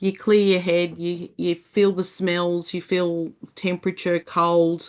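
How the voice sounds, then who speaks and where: The pace is moderate and the speech comes with an Australian accent. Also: woman. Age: 50s. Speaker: motorcycle community founder. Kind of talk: podcast interview.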